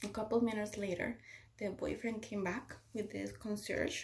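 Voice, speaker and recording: This is a woman whose voice is somewhat breathy. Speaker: stroke survivor sharing her story. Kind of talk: personal testimony vlog. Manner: halting, with repetitions.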